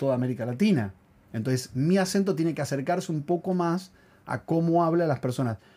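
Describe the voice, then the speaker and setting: The recording is very clean, with a silent background. A man with a fairly high pitch and a dark, mellow tone speaks at a fairly quick pace with lively intonation. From Argentina. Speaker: podcast co-host and actor. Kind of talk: casual chat.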